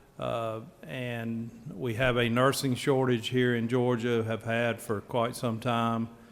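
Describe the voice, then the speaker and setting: Speaking very slowly at a medium pitch, a man talks in a Southern US accent. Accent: Southern drawl. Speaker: state senator. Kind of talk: legislative floor speech. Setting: legislative chamber.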